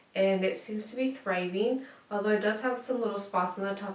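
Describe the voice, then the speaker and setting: A woman's medium-pitched voice at a moderate pace, with ordinary pitch variation and audible room echo. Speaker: lifestyle vlogger; plant vlogger. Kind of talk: casual show-and-tell tutorial. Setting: home room. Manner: casual with fillers. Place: home room.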